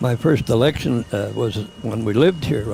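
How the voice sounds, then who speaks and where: A man with a western Canadian accent, medium pitch, ordinary pitch variation and a moderate pace, over noticeable background noise. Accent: rural western Canadian. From western Canada, Lloydminster area. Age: 90s. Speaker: parade marshal, cattleman. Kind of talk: interview recollection.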